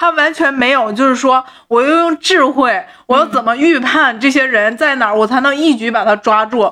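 This raised, projected voice has a bright, sharp tone, very even loudness, ordinary pitch variation and a moderate pace. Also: woman, high pitch for a woman. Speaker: podcast co-host. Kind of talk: casual chat about a TV drama.

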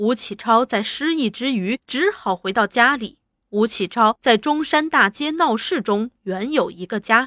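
Over a quiet background, a natural reading voice and lively intonation

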